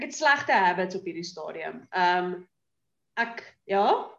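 Her pitch swings very widely as this woman speaks. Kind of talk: casual chat. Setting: video call.

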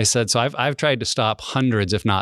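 Over a quiet background with a dry, close sound and no echo, a man with an American accent and an ordinary speaking voice talks at a fairly quick pace with fairly even intonation. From US Mountain West (Wyoming, Montana). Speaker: ministry director and former pastor. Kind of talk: podcast interview, personal testimony.

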